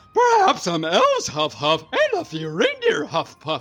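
This is a female-sounding voice in a put-on character voice. It moves at a moderate pace. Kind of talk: comic overacting. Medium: read story. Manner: earnest, grandiose, excitable.

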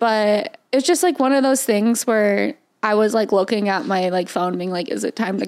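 With lively intonation and a moderate pace, a woman speaks at a fairly high pitch. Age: 20s. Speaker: podcast co-host. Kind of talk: casual chat. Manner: animated, frequent laughter.

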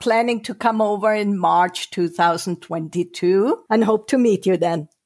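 With a German accent, a woman of medium pitch speaks at a fairly slow pace with hardly any pauses on a very clean recording with a silent background. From Germany. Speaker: novelist. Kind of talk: interview.

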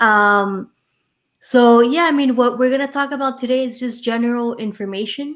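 Intonation is fairly even. The speech moves at a moderate pace. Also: woman, high pitch for a woman. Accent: Miami. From Miami, Florida. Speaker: insurance and retirement planning professional. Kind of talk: casual interview chat. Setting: live online show.

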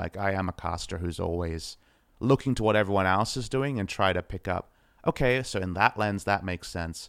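Speaking in an Australian accent, a man uses a very deep, low pitch with ordinary pitch variation at a moderate pace. The recording is very clean with a silent background and a dry, close sound with no echo. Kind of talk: casual chat. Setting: home apartment. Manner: low-key off air, more energetic when casting.

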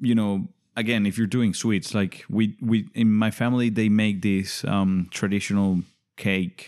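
A man with a Spanish accent speaks at a fairly low pitch and fairly slow pace, with ordinary pitch variation. His loudness stays very even, and the background is quiet. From Venezuela. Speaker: podcast guest. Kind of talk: casual chat.

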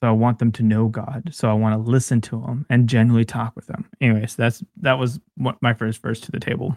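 In a dry, close sound with no echo, a man with an American accent uses an ordinary speaking voice at medium pitch, talking at a fairly quick pace with fairly even intonation and hardly any pauses. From California Central Valley (Bakersfield). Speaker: podcast co-host. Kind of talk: casual chat about scripture.

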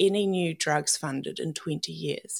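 On a very clean recording with a silent background, a woman speaks in a New Zealand accent. Her pace is fairly slow and her intonation lively. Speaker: cancer survivor. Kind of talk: casual interview, personal story.

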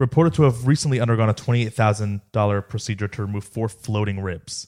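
Recorded very cleanly against a silent background with a dry, close, echo-free sound, a man talks in an ordinary speaking voice at medium pitch with ordinary pitch variation. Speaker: podcast host. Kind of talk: casual banter podcast.

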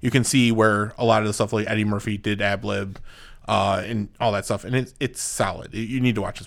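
A man with a plain, everyday voice speaks at a fairly quick pace in a fairly low pitch, his loudness swinging widely while his intonation stays fairly even, on a very clean recording with a silent background. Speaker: podcast co-host. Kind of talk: casual chat. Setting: studio.

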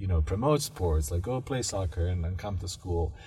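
Somewhat breathy and fairly low-pitched, a man talks at a fairly quick pace with lively intonation. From Bosnia. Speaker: graduate student. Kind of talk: interview. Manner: halting.

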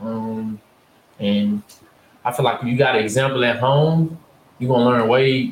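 At a fairly slow pace, a man with an American accent talks with fairly even intonation. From northern Louisiana (Winnfield, Ruston). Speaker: former college basketball player. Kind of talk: casual interview chat.

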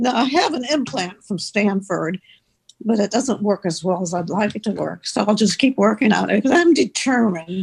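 A woman speaks at medium pitch, somewhat breathy. Her intonation is lively and her pace moderate. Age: 80s. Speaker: former Little League baseball player. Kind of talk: interview.

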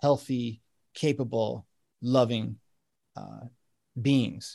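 Against a quiet background, a man speaks at a medium pitch with an American accent. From United States. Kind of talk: casual chat.

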